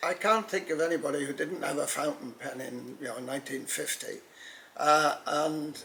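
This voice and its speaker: There is noticeable noise in the background. Over it, a man speaks at a moderate speed. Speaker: pen expert. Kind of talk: interview. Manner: halting.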